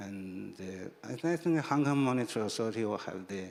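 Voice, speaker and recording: Lively intonation runs through this man's voice. His pitch is fairly low. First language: Chinese. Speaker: financial regulator, panelist. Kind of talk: panel discussion. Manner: halting, many fillers.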